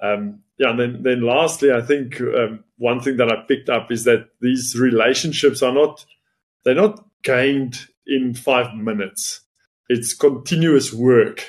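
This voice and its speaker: With an unremarkable speaking voice, a man of medium pitch talks at a fairly slow pace with ordinary pitch variation. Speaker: podcast host. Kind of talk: casual interview conversation.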